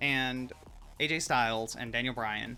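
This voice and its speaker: Music plays in the background as a man with a slight Georgia accent speaks. His pitch is medium, with ordinary pitch variation. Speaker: streamer. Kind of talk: casual chat. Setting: live stream.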